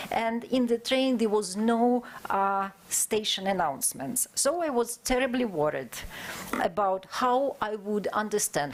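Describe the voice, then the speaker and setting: Noticeable background noise accompanies a woman who talks fairly slowly. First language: not English. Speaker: conference speaker, historian. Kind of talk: academic conference presentation. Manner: halting, many filler sounds.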